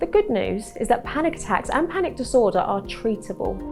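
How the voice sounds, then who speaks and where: A calm tone with very wide pitch swings at a fairly quick pace, with music in the background. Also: woman, fairly high pitch for a woman. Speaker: cognitive behavioural therapist. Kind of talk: health explainer to camera. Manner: calm, reassuring.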